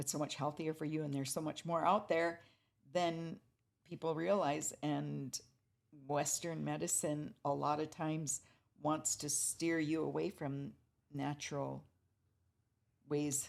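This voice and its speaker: In a very clean recording with a silent background, a woman with an American accent talks fairly slowly at a very deep, low pitch, her intonation fairly even and her pauses long and frequent. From Fort Berthold Reservation, North Dakota, US. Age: 70s. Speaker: artist and culture bearer. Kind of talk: interview conversation. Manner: hesitant, many fillers.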